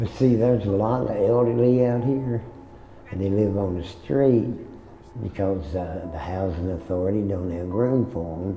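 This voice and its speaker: With noticeable background noise and audible room echo, a man talks at a moderate pace in a fairly low voice with ordinary pitch variation. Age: 60s. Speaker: homeless person, former coal miner. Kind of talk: testimony.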